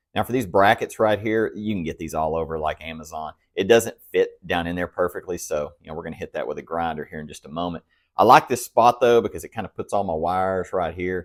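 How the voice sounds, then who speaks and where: A man with a very deep, low voice talks very fast with ordinary pitch variation. The recording is very clean, with a silent background and a dry, close sound with no echo. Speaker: motorcycle restoration youtuber. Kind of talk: workshop tutorial. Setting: home garage. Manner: casual, chatty.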